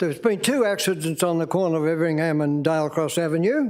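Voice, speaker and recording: Speaking at a moderate pace with an Australian accent, a man uses a high pitch and ordinary pitch variation, with audible room echo around him. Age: 90s. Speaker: member of the public addressing council. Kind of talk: public statement at council meeting. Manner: halting.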